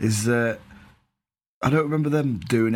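Heard with audible room echo, a man speaks at a fairly quick pace with ordinary pitch variation. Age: 30s. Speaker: football podcast co-host. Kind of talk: casual chat.

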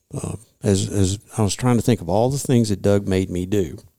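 A man's fairly quick speech in a Kentucky accent, dark and mellow in tone, with ordinary pitch variation. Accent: Southern US (Kentucky). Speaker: retired state wildlife commissioner. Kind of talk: casual interview. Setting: studio conference room.

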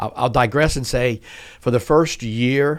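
This very clean recording has a silent background and a man with a medium-pitched voice. He speaks at a moderate pace with ordinary pitch variation. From US South, South Louisiana. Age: 60s. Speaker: tech company CEO. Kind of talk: podcast interview.

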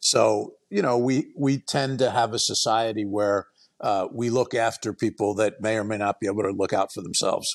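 A man with a plain, everyday voice and an American accent, medium pitch, fairly even intonation and moderate pace, in a dry, close sound with no echo against a quiet background. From US Northeast, West Philadelphia and Baltimore area. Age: 60s. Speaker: attorney and author. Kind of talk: podcast interview.

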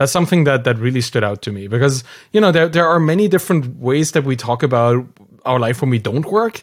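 Fairly quick and lively in intonation, a man speaks at a medium pitch. The recording is very clean, with a silent background. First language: not English. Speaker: podcast host. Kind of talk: casual interview conversation.

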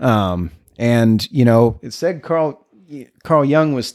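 Recorded very cleanly against a silent background, an unremarkable speaking voice carries ordinary pitch variation. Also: man. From El Paso, Texas. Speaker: recovering alcoholic sharing story. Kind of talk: interview, personal recovery story.

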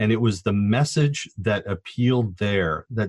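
A man with an American accent speaks at a fairly slow pace in an unremarkable speaking voice, his fairly low pitch moving with ordinary variation, the sound dry and close with no echo. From Southern California, Orange County. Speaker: sociology professor. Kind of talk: interview.

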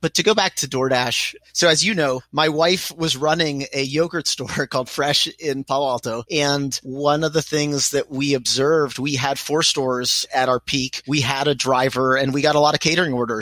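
An American-accented man with an unremarkable speaking voice talks at a moderate pace and fairly high pitch, with fairly even intonation and hardly any pauses. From US, Pittsburgh, Pennsylvania. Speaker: venture capital investor. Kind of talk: interview.

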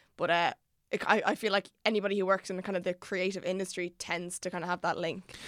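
A woman with an Irish accent talks at a very fast pace in a monotone, flat intonation at medium pitch, on a very clean recording with a silent background. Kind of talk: casual chat.

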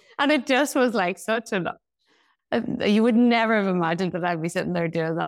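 Speaking at a fairly quick pace, a woman with a Northern Irish accent shows ordinary pitch variation. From Northern Ireland. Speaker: hairstylist and founder. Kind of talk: casual interview chat.

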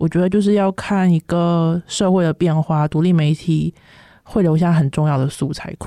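A woman's fairly low, dark, mellow voice with a Taiwanese accent and fairly even intonation, in a dry, close sound with no echo. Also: moderate pace. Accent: close to Taiwanese Mandarin. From China. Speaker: PhD student. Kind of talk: interview.

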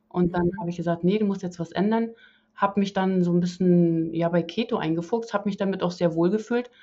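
At a fairly quick pace, the delivery comes in an ordinary speaking voice. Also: woman, medium pitch for a woman, fairly even intonation. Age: 40s. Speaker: interview guest, carnivore diet convert. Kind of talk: casual interview.

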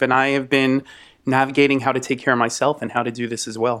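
A man has an unremarkable speaking voice at medium pitch. He talks at a fairly quick pace with fairly even intonation. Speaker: speech language pathologist. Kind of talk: interview. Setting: video call with microphone.

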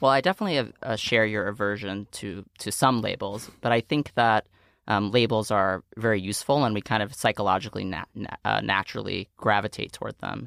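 At a fairly quick pace with hardly any pauses, a man with an American accent speaks at a fairly low pitch with vocal fry, recorded dry and close with no echo, very clean against a silent background. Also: ordinary pitch variation. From New York City, Staten Island. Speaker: non-profit founder and president. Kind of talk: interview conversation.

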